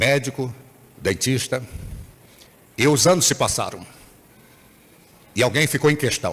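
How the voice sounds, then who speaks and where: A man with a medium pitch and an animated tone talks fairly slowly, with ordinary pitch variation. His loudness stays very even, and he takes long, frequent pauses. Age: 60s. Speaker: bishop. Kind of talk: sermon.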